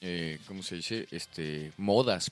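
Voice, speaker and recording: A man is speaking. He has a Mexican accent. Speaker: podcast guest. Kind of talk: casual chat.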